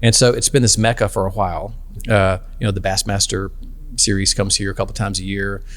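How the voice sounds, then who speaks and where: Talking at a very fast pace, a man has an American accent. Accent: Southern US, toned down when traveling. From northern Alabama, US South. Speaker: business founder, benefits advisor. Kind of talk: podcast interview. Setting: in person, on location in his home town.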